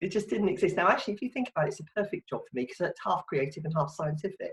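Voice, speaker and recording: Speaking at a very fast pace with a London accent, the voice is somewhat breathy, with a dry, close sound and no echo. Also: woman, medium pitch for a woman. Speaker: marketing consultant. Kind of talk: casual chat. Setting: video call.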